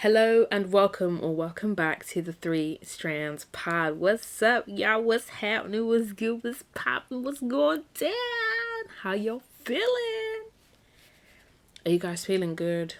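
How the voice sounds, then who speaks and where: A woman at a medium pitch with lively intonation and a fairly slow pace, noticeable background noise behind her. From South London, England. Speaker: podcast host. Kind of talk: casual monologue. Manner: animated.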